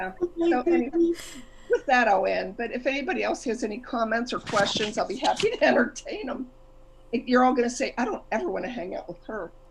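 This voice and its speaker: Against noticeable background noise, a woman with a high pitch speaks at a fairly quick pace with lively intonation. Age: 60s. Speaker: guest lecturer. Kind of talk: casual talk on a group call. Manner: animated.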